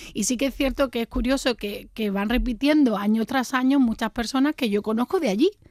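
This woman talks at a fairly quick pace with a high pitch and ordinary pitch variation. The very clean recording has a silent background and a dry, close sound with no echo. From Jerez, Andalusia. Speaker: wine tasting organizer. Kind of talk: casual chat.

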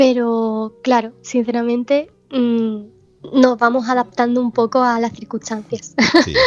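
A woman's high-pitched, flat, monotone voice at a fairly slow pace. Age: 20s. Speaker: video game developer. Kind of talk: interview. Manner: halting.

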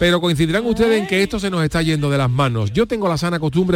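A man talks very fast while noticeable noise runs in the background. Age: 50s. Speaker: radio host. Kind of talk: casual chat.

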